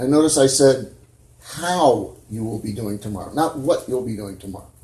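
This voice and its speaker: A man speaks at medium pitch with lively intonation. Audible room echo surrounds his voice. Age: 60s. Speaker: preacher. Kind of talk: sermon. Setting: church.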